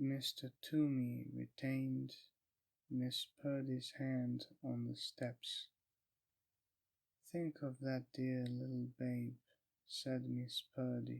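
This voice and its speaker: Soft-spoken, a man talks at a very slow pace with long, frequent pauses in a dry, close sound with no echo. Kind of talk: audiobook reading. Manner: slow, soft-spoken.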